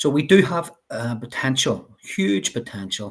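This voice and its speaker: Someone speaks at a very slow pace with a Northern Irish accent. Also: man. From Northern Ireland, Belfast. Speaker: life coach. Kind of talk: interview.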